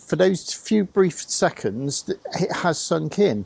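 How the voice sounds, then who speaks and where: This is a man speaking. His pace is very slow. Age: 60s. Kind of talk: casual explanatory talk. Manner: halting, many fillers and restarts.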